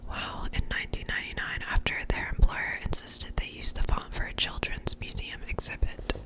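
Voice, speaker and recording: Background noise is clearly audible. Over it, the words come as a whisper. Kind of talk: ASMR whispered book reading. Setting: close-up binaural microphone, studio. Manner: whispered, soft-spoken.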